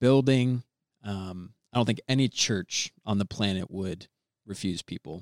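With an American accent, a man uses a normal speaking voice. He has a fairly low pitch and fairly even intonation. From Florida, Orlando. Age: 20s. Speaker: young father, church member. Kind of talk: casual chat.

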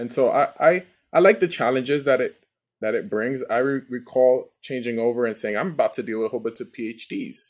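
A man at medium pitch with an ordinary speaking voice, ordinary pitch variation and a fairly quick pace, on a very clean recording with a silent background. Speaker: customer success leader and army veteran. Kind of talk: casual podcast interview.

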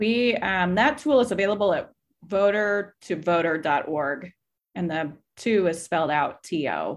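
A woman with an American accent and an unremarkable speaking voice talks fairly slowly at a medium pitch, her intonation lively. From Kansas, US Midwest. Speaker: voter organization director. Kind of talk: casual interview chat.

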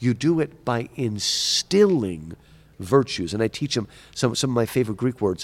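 With lively intonation and a moderate pace, a man in a normal speaking voice talks at medium pitch on a very clean recording with a silent background. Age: 50s. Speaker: professor. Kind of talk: interview. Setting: conference.

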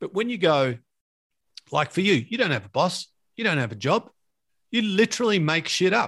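With an Australian accent, the speaker moves at a moderate pace, pitch swinging very widely, with long, frequent pauses against a quiet background. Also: man, high pitch for a man. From Australia, Victoria (Latrobe Valley). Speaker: podcast host. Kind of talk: casual chat.

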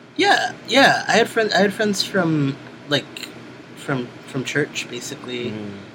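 Speaking fairly slowly with an American accent, the voice swings very widely in pitch over noticeable background noise. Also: man, high pitch for a man. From Brooklyn, New York (East New York). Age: 30s. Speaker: musician and sex educator. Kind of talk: oral history interview. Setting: interviewer's house.

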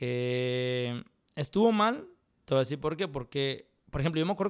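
The recording is very clean, with a silent background. The speaker talks at a fairly quick pace with a Mexican accent. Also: man. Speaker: professional poker player and architect. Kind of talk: casual interview.

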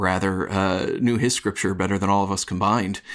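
In a very clean recording with a silent background, a man speaks fairly slowly at a fairly low pitch with fairly even intonation, in a plain, everyday voice. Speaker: screenwriter and minister. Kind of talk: podcast discussion.

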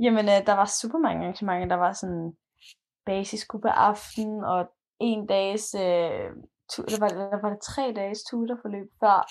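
A woman with a plain, everyday voice, a medium pitch and fairly even intonation, at a fairly slow pace. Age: 20s. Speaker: university student. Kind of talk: casual interview. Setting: recorded remotely, separate rooms.

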